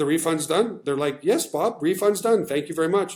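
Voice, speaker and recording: Pitched high for a man, a male speaker talks with ordinary variation in pitch. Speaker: business presenter. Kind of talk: live webinar sales pitch. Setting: livestream. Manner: fast; animated.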